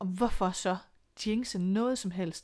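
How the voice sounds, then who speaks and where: In a very clean recording with a silent background, a woman speaks at medium pitch in an ordinary speaking voice with ordinary pitch variation. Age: 40s. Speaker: single mother by choice. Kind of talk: interview.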